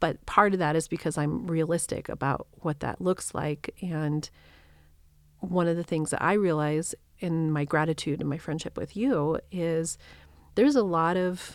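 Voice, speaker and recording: An ordinary speaking voice with an American accent moves at a moderate pace with ordinary pitch variation on a very clean recording with a silent background. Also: woman. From New Mexico, US. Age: 50s. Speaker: spiritual coach and reverend. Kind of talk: casual chat.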